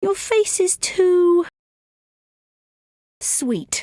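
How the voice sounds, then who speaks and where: A woman's squeaky, put-on character voice at an extremely high pitch with lively intonation, dry and close with no echo. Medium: video game. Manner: wry, confident.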